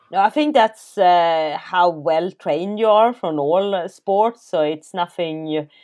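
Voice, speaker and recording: Over a quiet background, a woman with a Swedish accent speaks at a very slow pace with hardly any pauses. Her fairly low pitch carries lively intonation. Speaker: elite trail runner and company co-founder. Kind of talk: casual interview.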